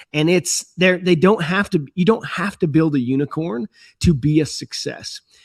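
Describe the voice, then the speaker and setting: A man with an American accent and a plain, everyday voice speaks at a moderate pace and fairly high pitch, his intonation lively, against a quiet background. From USA. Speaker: entrepreneur and startup investor. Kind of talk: podcast interview. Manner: conversational with frequent fillers and restarts.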